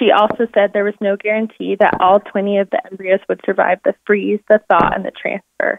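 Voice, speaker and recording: A woman's unremarkable speaking voice at medium pitch and a fairly quick pace. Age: 20s. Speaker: embryo adoptee and co-author. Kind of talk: reading aloud. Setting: phone call.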